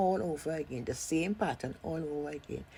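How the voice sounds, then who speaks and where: A woman's very deep, low voice at a moderate pace. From Trinidad and Tobago. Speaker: seamstress and pattern maker. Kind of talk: casual sewing tutorial talk.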